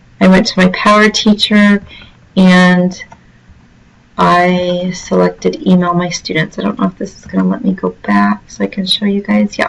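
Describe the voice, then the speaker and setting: A woman speaks at a moderate pace, with big swings in loudness. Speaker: teacher. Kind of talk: tutorial.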